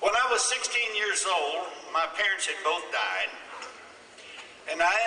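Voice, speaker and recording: At a very slow pace, a man with a Midwestern US accent speaks with audible room echo and noticeable background noise. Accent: rural Midwestern American. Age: 70s. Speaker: farmer and speaker. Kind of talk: conference speech.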